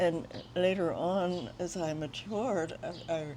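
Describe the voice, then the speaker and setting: A woman talks in a dark, mellow tone at a fairly low pitch. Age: 90s. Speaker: retired painter. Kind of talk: interview. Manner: halting.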